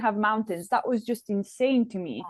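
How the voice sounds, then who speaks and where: At a moderate pace, a woman speaks with an Italian accent and a fairly high pitch. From Italy (Trento). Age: 20s. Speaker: ice hockey player. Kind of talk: podcast interview.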